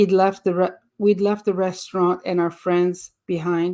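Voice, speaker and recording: On a very clean recording with a silent background, a woman with a French accent talks at a medium pitch. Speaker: audiobook reader. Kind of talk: reading aloud; casual introduction. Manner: halting, with fillers.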